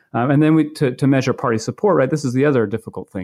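A man in an American accent, ordinary pitch variation, dry, close sound with no echo, and a quiet background. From Maine, US. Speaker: political science professor. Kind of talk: interview about his book. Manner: halting, many fillers and repetitions.

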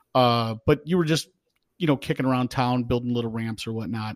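With an American accent, a man speaks in a normal speaking voice at a medium pitch with fairly even intonation, recorded dry and close with no echo. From hometown in the US. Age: 40s. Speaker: police officer. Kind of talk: casual chat.

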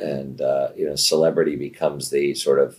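A man with an American accent talks at a moderate pace. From Santa Monica, California. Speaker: talent agency executive. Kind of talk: interview conversation. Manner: halting, with fillers.

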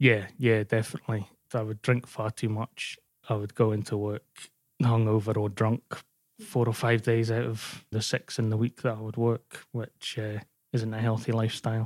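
On a very clean recording with a silent background and a dry, close sound with no echo, a man with a Glasgow accent speaks at a moderate pace in a medium pitch with monotone, flat intonation. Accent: Scottish (Glasgow area). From Scotland, partly raised in North Wales. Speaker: sports journalist. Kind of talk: personal testimony interview.

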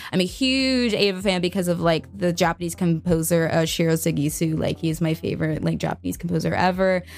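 With an ordinary speaking voice, a woman talks at a fairly quick pace with hardly any pauses, her loudness very even, her pitch fairly low and its variation ordinary. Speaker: voice actor. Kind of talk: casual chat.

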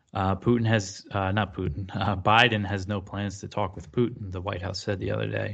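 A man's vocal fry and monotone, flat intonation over a quiet background. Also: fairly low pitch for a man, moderate pace, hardly any pauses. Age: 30s. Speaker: news editor, foreign policy commentator. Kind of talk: interview. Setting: video call. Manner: halting, many fillers.

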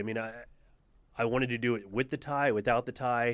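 This is a plain, everyday voice, a man's at medium pitch with an American accent. He talks at a fairly quick pace with fairly even intonation. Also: very clean recording, silent background. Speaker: restaurant owner. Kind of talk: casual chat.

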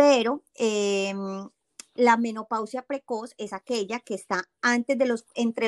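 This very clean recording, with a silent background, carries a dry, close sound with no echo. A woman talks at a fairly high pitch with ordinary pitch variation. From Colombia. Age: 40s. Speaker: habit coach and meditation teacher. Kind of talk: interview.

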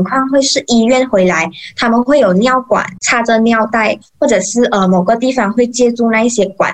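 At a moderate pace, an unremarkable speaking voice holds very even loudness with ordinary pitch variation. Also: woman. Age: 20s. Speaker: mortician and funeral emcee. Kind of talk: interview.

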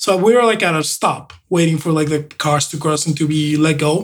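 With a Spanish accent, a man speaks at a high pitch. His pace is moderate. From Mexico. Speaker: host's husband, co-presenter. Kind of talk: casual chat.

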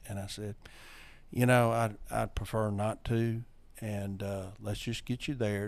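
A man with a Louisiana accent, fairly low in pitch, monotone and flat, at a fairly slow pace. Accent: Southern US (Louisiana). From North Louisiana. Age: 60s. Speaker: recovering alcoholic, AA sponsor. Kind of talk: personal testimony. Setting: studio.

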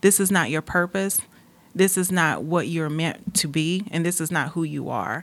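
Very clean recording, silent background, with a woman speaking at a moderate pace. She talks with an American accent. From North Carolina. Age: 30s. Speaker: pageant contestant and mentoring organization founder. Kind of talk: interview.

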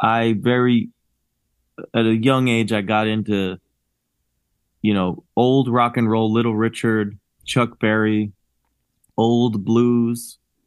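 In an American accent, the speaker talks at a very slow pace with monotone, flat intonation and very even loudness. Long, frequent pauses run throughout. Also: man, medium pitch for a man. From New Jersey (Cherry Hill, near Philadelphia). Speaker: rock musician and bandleader. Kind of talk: casual interview chat.

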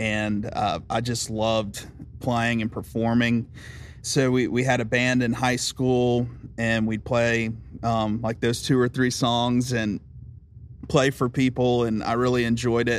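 A man with a Southern US accent speaks at a fairly slow pace in a monotone, flat delivery at medium pitch. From US South, Aiken, South Carolina. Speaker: songwriter. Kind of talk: casual chat.

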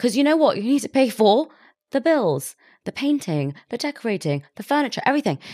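A woman with a British accent speaks at a fairly quick pace in a high pitch with a dark, mellow tone and very wide pitch swings, on a very clean recording with a silent background. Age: 20s. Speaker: podcast host. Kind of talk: casual chat.

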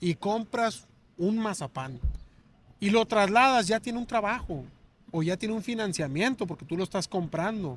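Lively intonation marks this man's high-pitched voice, captured in a very clean recording with a silent background and a dry, close sound with no echo. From Hermosillo, Sonora, Mexico. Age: young. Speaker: businessman. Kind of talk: casual chat.

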